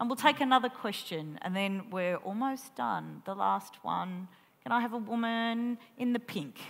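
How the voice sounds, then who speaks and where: Speaking at a moderate pace with lively intonation, a woman talks in an Australian accent. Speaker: columnist and festival interviewer; festival interviewer. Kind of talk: onstage interview. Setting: stage with audience. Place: stage. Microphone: headset.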